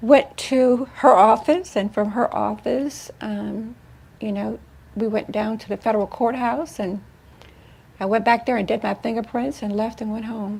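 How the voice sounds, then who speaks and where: Somewhat breathy and fairly high-pitched, a woman speaks at a moderate pace with ordinary pitch variation and big swings in loudness. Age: 60s. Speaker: tax fraud defendant telling her case. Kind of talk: interview testimony.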